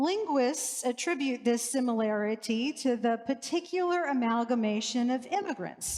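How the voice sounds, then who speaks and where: A woman's high voice with lively intonation and an American accent, set against noticeable background noise. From US South, New Orleans. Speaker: priest. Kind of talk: sermon.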